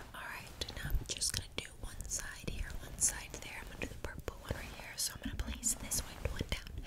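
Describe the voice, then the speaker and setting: Whispering at a fairly quick pace, a woman goes on with hardly any pauses. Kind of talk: soft roleplay talk to viewer. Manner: soft, quiet ASMR voice. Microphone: earbuds.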